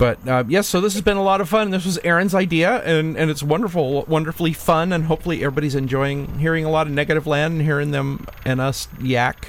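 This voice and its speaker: A man at a fairly high pitch, very fast with hardly any pauses, ordinary pitch variation, and noticeable background noise. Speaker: radio host. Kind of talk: radio show hosting over a video call, casual chat. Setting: home studio, video call. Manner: easygoing, chatty, playful.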